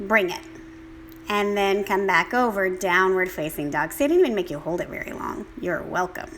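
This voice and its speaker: Amid noticeable background noise, a woman at medium pitch speaks at a moderate pace with very wide pitch swings. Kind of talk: guided yoga class. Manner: casual, chatty.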